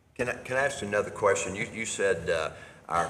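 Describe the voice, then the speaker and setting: This man keeps a moderate pace, his voice carrying audible echo from the room. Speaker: county commissioner. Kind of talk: public meeting. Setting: county courtroom meeting. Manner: halting. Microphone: too far from the microphone.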